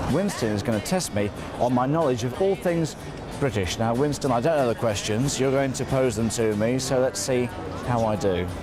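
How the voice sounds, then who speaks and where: A man's medium-pitched voice at a moderate pace, very even in loudness and lively in intonation, with music in the background. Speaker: television presenter. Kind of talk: interviewing on location, casual conversation.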